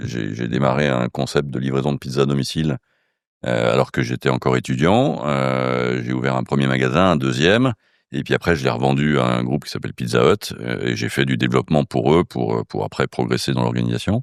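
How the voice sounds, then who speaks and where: Vocal fry at a fairly quick pace, in a dry, close sound with no echo. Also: man, very deep, low pitch for a man, fairly even intonation. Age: 60s. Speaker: casino group executive. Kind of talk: interview. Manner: hesitant, many fillers.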